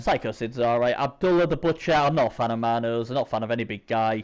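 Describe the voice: The tone is clear and smooth. Delivery is fast, with fairly even intonation. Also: man, medium pitch for a man.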